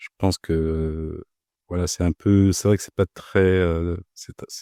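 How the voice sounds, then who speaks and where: A man speaks at a very deep, low pitch with a dark, mellow tone and monotone, flat intonation. The recording is very clean and silent in the background, with a dry, close sound and no echo. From Paris suburbs, France. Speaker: bank compliance officer. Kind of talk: podcast interview. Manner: halting, many hesitations and repeated words.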